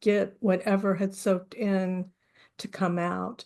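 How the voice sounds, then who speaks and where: A woman's medium-pitched voice is heard against a quiet background. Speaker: book chapter author. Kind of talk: interview. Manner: halting; slow.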